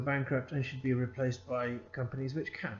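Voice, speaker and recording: A man speaks at a fairly high pitch. Audible room echo and music in the background are present. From Scotland. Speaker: accounting consultant and lecturer. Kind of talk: lecture. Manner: conversational, with frequent hesitations.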